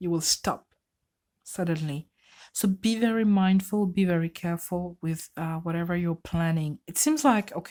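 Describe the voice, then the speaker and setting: Speaking at a fairly slow pace with a non-native accent, a woman uses a fairly low pitch and fairly even intonation in a very clean recording with a silent background. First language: not English. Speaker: tarot reader. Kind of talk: tarot reading. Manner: halting.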